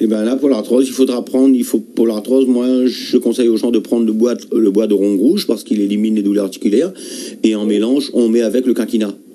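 A man talks at a fairly quick pace. His intonation is fairly even and his loudness very even. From Réunion. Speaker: herbal tea healer; guest. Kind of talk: radio call-in advice. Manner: halting. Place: studio.

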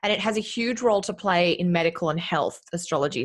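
A woman with an Australian accent talks at a fairly quick pace, somewhat breathy, with lively intonation. The background is quiet. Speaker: astrologer. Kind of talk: casual chat. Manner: animated. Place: home room. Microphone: studio mic.

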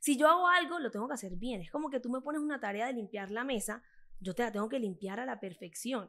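Talking at a very fast pace, a woman with a Colombian Caribbean accent uses a high pitch, an animated, bright, sharp tone and lively intonation. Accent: Colombian coastal (costeño). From Colombia, Caribbean coast (Cartagena). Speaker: fitness influencer. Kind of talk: interview conversation. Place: studio. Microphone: studio mic.

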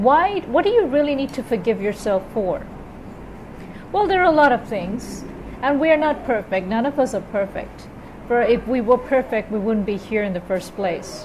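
Moderate pace from a woman, light background noise behind her. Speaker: spiritual advice vlogger. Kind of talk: casual vlog talk, advice. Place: home room. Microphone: earbuds.

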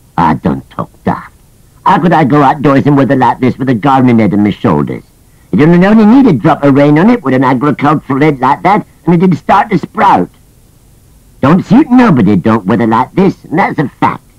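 A man puts on a character voice with a fairly high pitch. He talks at a fairly quick pace. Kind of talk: comic character voice. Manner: grumbling, cantankerous.

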